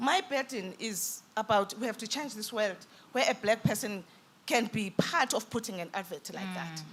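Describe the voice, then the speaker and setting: There is noticeable background noise as a woman speaks at a fairly high pitch with big swings in loudness. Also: lively intonation, moderate pace. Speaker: businesswoman panelist. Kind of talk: panel discussion.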